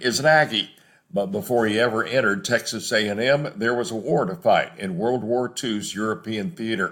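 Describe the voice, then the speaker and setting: A man talks in an unremarkable speaking voice, pitched in the middle range. His intonation is lively and his pace moderate. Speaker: interviewer, radio host. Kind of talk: program introduction.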